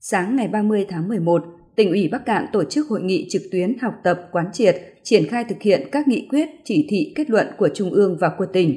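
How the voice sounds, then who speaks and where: Over a quiet background, a woman talks at a moderate pace. Her voice is somewhat breathy, with very wide pitch swings. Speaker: radio news announcer. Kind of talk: news bulletin reading.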